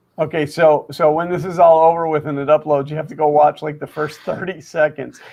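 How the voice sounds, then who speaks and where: A man mumbles in a fairly high voice at a fairly quick clip, his intonation monotone and flat, with hardly any pauses. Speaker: live stream co-host. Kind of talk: casual chat. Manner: mumbling.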